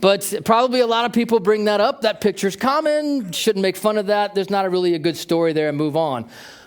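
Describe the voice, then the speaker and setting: A man speaks very fast at a high pitch with lively intonation. He has an American accent. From United States. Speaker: tech company manager, keynote speaker. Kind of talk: keynote talk.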